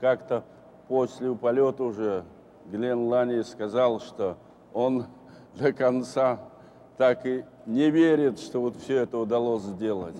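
Over light background noise, a man with a Russian accent talks at a moderate pace with fairly even intonation and long, frequent pauses. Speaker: retired cosmonaut; guest. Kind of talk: panel discussion with interpreter. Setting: stage with audience. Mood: warm, reflective. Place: hall. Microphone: lapel.

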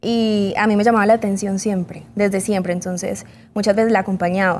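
Over light background noise, a woman speaks at a moderate pace in a dark, mellow tone. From Colombia. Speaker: model; interview guest. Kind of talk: interview. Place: studio. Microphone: lapel.

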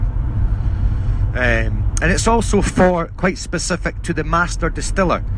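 A man talks with a Scottish accent. Noticeable background noise is present. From Scotland. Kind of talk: interview answer.

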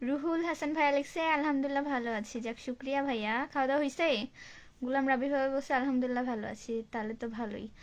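A woman's high-pitched voice with fairly even intonation, on a very clean recording with a silent background. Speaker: live streamer. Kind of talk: casual live stream chat reading viewer comments.

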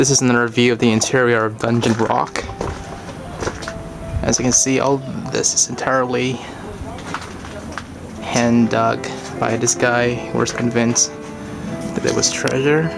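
Speech moves at a moderate pace, broken by long, frequent pauses. Clear music plays in the background. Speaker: travel vlogger. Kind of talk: casual vlog narration. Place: forest. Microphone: phone near.

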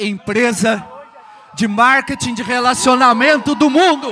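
Using a raised, projected voice, a man speaks at an extremely high pitch with ordinary pitch variation. His pace is fairly slow, and there is light background noise. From Brazil. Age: 50s. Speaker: financial coach. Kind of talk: motivational talk. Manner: short phrases with pauses for interpreter. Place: hall.

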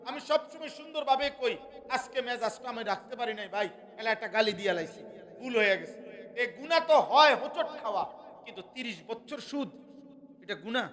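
At an extremely high pitch, a man speaks with ordinary pitch variation and big swings in loudness. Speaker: Islamic preacher. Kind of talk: sermon. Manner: animated.

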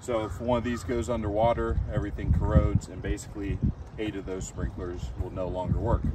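Amid loud background noise, a man talks at a fairly quick pace with ordinary pitch variation, the sound dry with no echo. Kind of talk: tutorial. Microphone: camera far.

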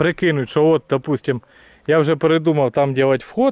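A man's voice with ordinary pitch variation, dry and echo-free, over a quiet background. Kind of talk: casual building walkthrough. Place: garden. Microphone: phone near.

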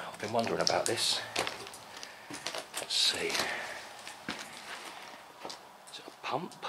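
A man's words come at a medium tempo, with clear noise audible behind him. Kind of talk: casual exploration commentary. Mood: curious, musing. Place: tunnel cave. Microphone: phone near.

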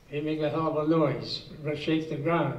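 A man's fairly high voice in audible room echo. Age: 80s+. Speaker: war veteran. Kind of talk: personal war story told to an audience. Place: meeting room.

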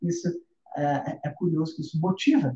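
A man speaks in a dark, mellow tone that is somewhat breathy. Room echo is audible. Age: 30s. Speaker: music teacher. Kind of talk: live stream lesson. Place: home room.

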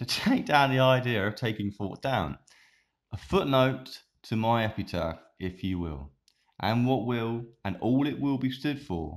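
A man with a normal speaking voice, medium pitch, lively intonation and a fairly slow pace, in a very clean recording with a silent background. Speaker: web show host and poet. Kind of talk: poetry reading. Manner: stumbling, self-correcting.

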